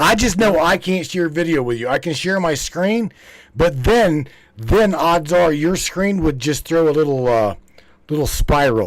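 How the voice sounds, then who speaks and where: A man with an American accent and a plain, everyday voice speaks at a fairly high pitch and a fairly slow pace, with lively intonation. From West Virginia. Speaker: live stream host. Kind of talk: casual chat.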